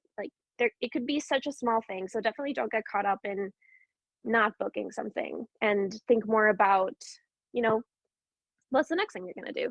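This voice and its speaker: A woman speaks in a fairly high pitch with ordinary pitch variation and a fairly quick pace, broken by long, frequent pauses. The sound is dry and close with no echo. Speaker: actor and voiceover artist. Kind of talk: panel discussion. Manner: fast.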